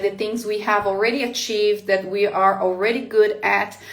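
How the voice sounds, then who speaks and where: Amid audible room echo, a woman with a Portuguese accent speaks at a fairly high pitch in a monotone, flat intonation. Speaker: life coach. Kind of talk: live motivational talk. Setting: livestream. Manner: hesitant, many fillers.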